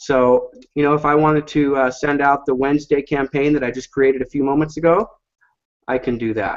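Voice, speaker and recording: This man has an unremarkable speaking voice, fairly high in pitch. His pace is fairly quick and his intonation fairly even. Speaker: online marketing presenter. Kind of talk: software demo sales pitch. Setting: live online hangout.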